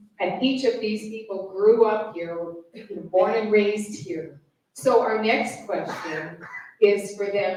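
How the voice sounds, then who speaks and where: Speaking at a very slow pace, a woman holds a medium pitch with ordinary pitch variation. Audible room echo surrounds her voice. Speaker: panel moderator. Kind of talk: panel moderation.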